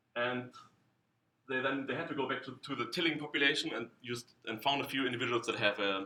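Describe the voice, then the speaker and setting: Ordinary pitch variation and a fairly quick pace, with a German accent. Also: man. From Germany. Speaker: scientist. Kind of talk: conference talk. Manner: halting, many repetitions.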